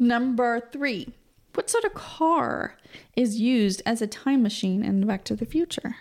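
Speaking with ordinary pitch variation, a woman uses an ordinary speaking voice at a fairly high pitch. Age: 40s. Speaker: podcast co-host. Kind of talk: casual chat; trivia quiz reading.

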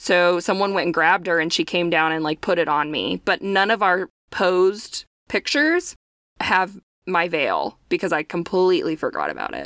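A woman's normal speaking voice, fairly low-pitched, with fairly even intonation and a moderate pace, recorded very cleanly against a silent background with a dry, close sound and no echo. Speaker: podcast co-host. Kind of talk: casual chat.

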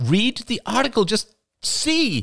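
A man puts on a character voice, high and fairly bright with vocal fry, at a slow pace. His pitch swings very widely.

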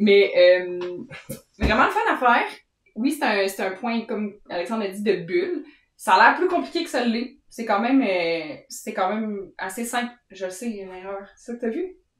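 In a Quebec accent, a woman with a fairly high pitch speaks at a moderate pace, her intonation lively and her loudness swinging widely. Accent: Québécois French. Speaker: knitting podcast co-host. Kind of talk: casual chat.

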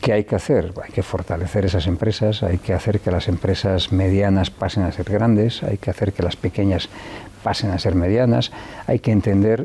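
Noticeable background noise sits behind a man with a very deep, low voice. He talks at a moderate pace with ordinary pitch variation. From Spain, León (Riaño). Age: 60s. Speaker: businessman. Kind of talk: interview. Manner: halting, many fillers and repetitions.

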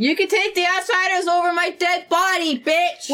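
A put-on character voice, extremely high-pitched and growling, at a moderate pace over light background noise. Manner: defiant, aggressive.

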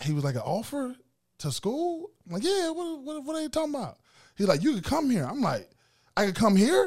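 With an American accent, a man speaks fairly quickly at an extremely high pitch with very wide pitch swings on a very clean recording with a silent background. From US South, Macon, Georgia. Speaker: former college football player. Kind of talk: interview.

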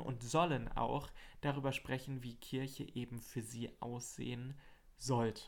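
At a fairly slow pace, a man speaks at a medium pitch in a plain, everyday voice. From Hesse, Germany (Marburg). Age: 20s. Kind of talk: casual chat. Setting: small home desk studio.

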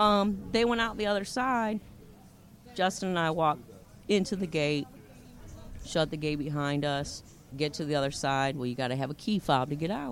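Speaking with an American accent, the voice swings very widely in pitch and leaves long, frequent pauses. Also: woman, very deep, low pitch for a woman, moderate pace. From Ohio. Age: 50s. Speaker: storyteller guest. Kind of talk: casual chat. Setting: outdoor beach bar.

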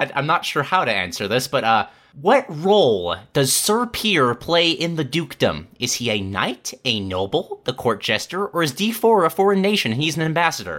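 This man's voice is fairly high in pitch and bright and sharp in tone, with vocal fry, very wide pitch swings, a moderate pace and hardly any pauses. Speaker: podcast host. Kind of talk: casual chat.

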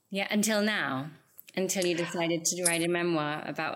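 A woman with a normal speaking voice, fairly low pitch, fairly even intonation and a fairly quick pace. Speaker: podcast host. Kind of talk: interview conversation.

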